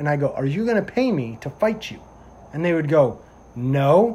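At a moderate pace, a man speaks in a fairly high, somewhat breathy voice with very wide pitch swings. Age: 20s. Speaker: police officer and podcast host. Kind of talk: casual chat.

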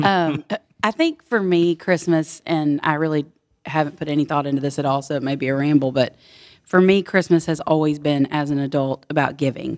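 A woman speaks at a fairly quick pace in a Texan accent, her pitch very deep and low. Her intonation stays fairly even on a very clean recording with a silent background. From Texas, Houston. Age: 40s. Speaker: small business owner. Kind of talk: casual chat. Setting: farmhouse basement.

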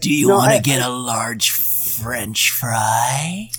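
A raspy, put-on character voice from a man at medium pitch, delivered at a very slow pace. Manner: creepy.

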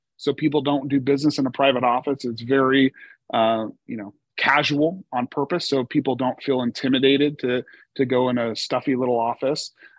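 A man with a plain, everyday voice and an American accent speaks at a fairly quick pace, with medium pitch and fairly even intonation, in a dry, close sound with no echo. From Oregon, US. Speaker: insurance agency CEO. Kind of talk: interview.

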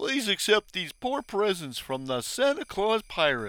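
Putting on a character voice, a man speaks high for a man at a moderate pace. His pitch swings very widely up and down. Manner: jolly and grand to victims, snapping at crew.

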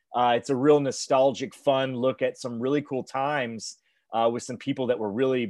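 Against a quiet background, a man of medium pitch speaks in a plain, everyday voice at a moderate pace with fairly even intonation, the sound dry and close with no echo. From Texas. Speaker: documentary director. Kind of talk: casual interview. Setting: remote call.

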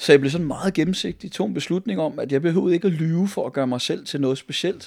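A man speaks at a fairly quick pace in a fairly high pitch with ordinary pitch variation. The recording is very clean, with a silent background. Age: 50s. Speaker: pastor. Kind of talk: personal testimony interview. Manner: halting, many fillers.

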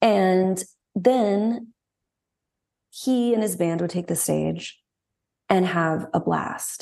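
With a Southern US accent, a woman speaks at a medium pitch in a dark, mellow tone, at a very slow pace with long, frequent pauses and ordinary pitch variation. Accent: Southern US, natural. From Texas. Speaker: singer-songwriter. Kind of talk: casual interview chat.

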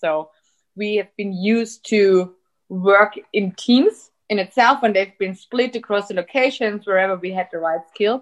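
This woman has a German accent. She talks at a fairly slow pace. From Austria. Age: 30s. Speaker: tech company executive. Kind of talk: interview.

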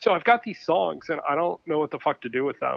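In a Michigan accent, a man with a fairly high pitch talks at a moderate pace, his pitch swinging very widely. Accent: Midwestern American (Michigan). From Michigan, Ypsilanti near Detroit. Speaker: photographer. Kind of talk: casual chat. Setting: phone call.

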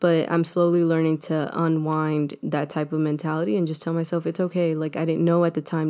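The voice has a dark, mellow tone and a monotone, flat intonation at a very fast pace. The recording is very clean with a silent background. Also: woman. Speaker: podcast co-host. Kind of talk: casual chat.

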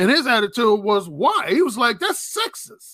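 Projecting a raised voice with a bright, sharp tone, a man speaks at a moderate pace in an extremely high pitch that swings very widely. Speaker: YouTube channel creator. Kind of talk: panel discussion.

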